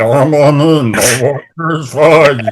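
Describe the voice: A man puts on a character voice with a fairly high pitch.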